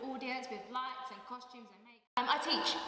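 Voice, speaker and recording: Female speech with noticeable background noise and audible room echo. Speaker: K-pop dance teacher. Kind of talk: interview; dance class instruction. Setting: dance class event. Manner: loud counting over music.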